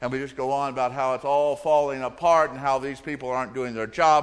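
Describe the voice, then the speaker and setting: A man with an American accent, an ordinary speaking voice, fairly high in pitch, at a moderate pace, on a very clean recording with a silent background. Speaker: Methodist pastor. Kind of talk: sermon delivered to a congregation.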